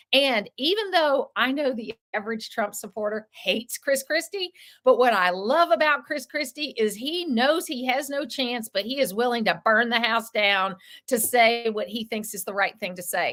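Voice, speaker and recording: In a very clean recording with a silent background, a woman with a Southern US accent speaks at a moderate pace, her high-pitched voice bright and sharp with lively intonation. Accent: Southern American. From US South. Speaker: radio talk-show host. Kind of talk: interview.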